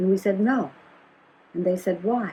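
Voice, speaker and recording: Over noticeable background noise, a woman with an American accent speaks at a medium pitch with ordinary pitch variation. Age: 80s+. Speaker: activist and educator. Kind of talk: interview conversation. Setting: at home. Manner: halting, with repetitions.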